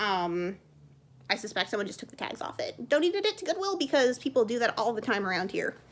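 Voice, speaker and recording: Very fast delivery with very wide pitch swings over noticeable background noise. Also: woman, high pitch for a woman. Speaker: clothing reseller. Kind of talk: haul video.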